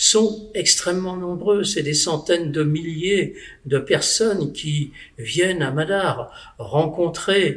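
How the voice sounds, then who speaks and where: Speaking very slowly, a man uses a high voice with ordinary pitch variation. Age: 70s. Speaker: former mayor, spiritual convert. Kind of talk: testimony. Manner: halting, with hesitations.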